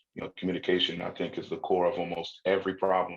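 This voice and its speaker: Very fast and monotone, a man speaks in a very deep, low pitch with flat intonation. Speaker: crypto educator. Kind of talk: casual chat.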